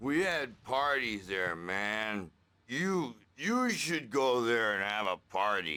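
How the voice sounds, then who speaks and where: A man's put-on character voice, medium in pitch for a man, with lively intonation at a very slow pace. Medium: video game. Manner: rambling, scattered.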